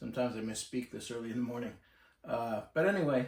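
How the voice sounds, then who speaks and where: A man's medium-pitched voice, with ordinary pitch variation, rushes along at a very fast pace. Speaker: marine electrical technician. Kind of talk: casual talk to camera. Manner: sometimes hesitant, mumbly.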